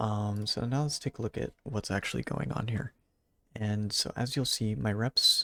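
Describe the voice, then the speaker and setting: A man speaks quietly with a fairly low pitch, a bright, sharp tone and ordinary pitch variation, in a dry, close sound with no echo. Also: moderate pace. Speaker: gaming YouTuber. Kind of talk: gameplay commentary. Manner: quiet, subdued.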